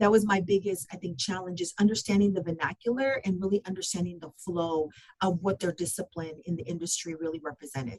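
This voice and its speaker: Speaking at a very fast pace with hardly any pauses, a woman with a Spanish accent sounds somewhat breathy, with a fairly low pitch and ordinary pitch variation. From Southern California (San Gabriel Valley). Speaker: construction business process manager. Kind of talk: podcast interview.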